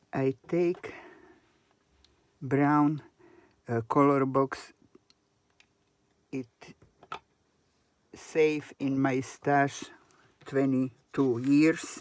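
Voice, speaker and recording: Speaking very slowly with long, frequent pauses, a woman with a non-native accent uses a very deep, low pitch and a monotone, flat intonation. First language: not English. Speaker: crafter. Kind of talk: tutorial. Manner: halting.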